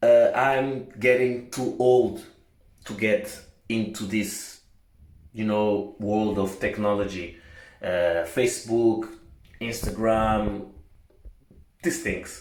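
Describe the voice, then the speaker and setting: In a Portuguese accent, the speaker talks at a very slow pace with ordinary pitch variation and long, frequent pauses, with audible room echo. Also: man, medium pitch for a man. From Portugal. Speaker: vlogger. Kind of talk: casual vlog monologue. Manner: halting, many fillers.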